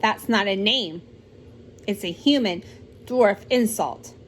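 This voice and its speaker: A gruff, growling put-on character voice at a fairly slow pace, with ordinary pitch variation. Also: woman, medium pitch for a woman. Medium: read story.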